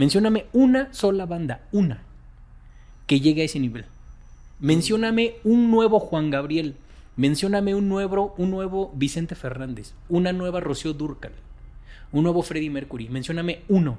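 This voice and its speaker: A man's high pitch and dark, mellow tone, with lively intonation, a moderate pace and long, frequent pauses, in a very clean recording with a silent background. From Mexico. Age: 40s. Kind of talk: interview.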